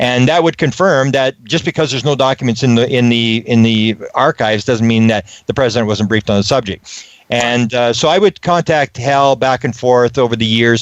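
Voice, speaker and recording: A plain, everyday voice moves at a fairly quick pace with ordinary pitch variation and very even loudness, recorded dry and close with no echo. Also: man. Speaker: ufology researcher, interview guest. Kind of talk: radio interview answer, conversational storytelling.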